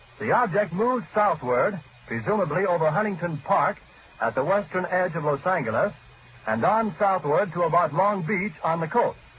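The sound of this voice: A man talks at a moderate pace with a high pitch, lively intonation and few pauses.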